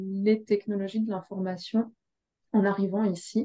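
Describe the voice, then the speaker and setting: Her tone is dark and mellow, a woman's voice at a medium pitch. She speaks with monotone, flat intonation. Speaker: human resources director. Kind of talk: panel interview.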